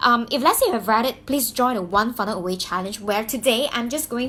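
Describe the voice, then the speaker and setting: An animated woman with a Mandarin accent, high in pitch, at a fairly quick pace with very wide pitch swings. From Malaysia (Malaysian Chinese). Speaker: YouTuber, business coach. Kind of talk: personal story vlog. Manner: halting, many fillers and restarts.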